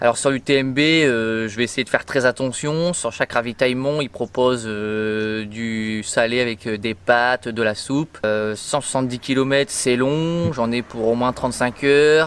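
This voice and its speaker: A man speaks at a medium pitch and a fairly slow pace with hardly any pauses. His intonation stays fairly even. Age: 30s. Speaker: nurse and amateur ultra-trail runner. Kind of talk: interview. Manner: hesitant, many fillers.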